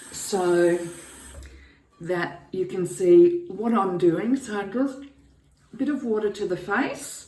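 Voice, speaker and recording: A woman at a very slow pace with ordinary pitch variation, noticeable background noise and audible room echo. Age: 60s. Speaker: beauty vlogger. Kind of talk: tutorial. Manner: casual, hesitant with fillers.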